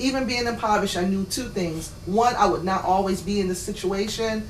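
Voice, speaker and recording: A woman talks fairly quickly at medium pitch with fairly even intonation. Noticeable background noise and audible room echo are present. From Boston, then Virginia. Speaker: panel guest on talk show. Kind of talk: panel discussion.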